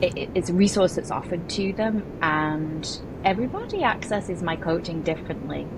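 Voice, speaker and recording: A fairly low-pitched woman at a fairly quick pace, amid noticeable background noise. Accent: English. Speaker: real estate broker and agent coach. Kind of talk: podcast interview.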